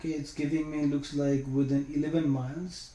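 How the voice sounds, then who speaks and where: A man with a non-native accent has a dark, mellow tone. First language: not English. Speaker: IT certification trainer. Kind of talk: screen-share tutorial. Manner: casual, hesitant with fillers.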